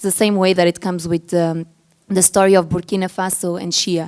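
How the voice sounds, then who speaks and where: A woman of medium pitch talks at a fairly quick pace in a flat, monotone way. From Portugal. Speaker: brand executive on a panel. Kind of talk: panel discussion.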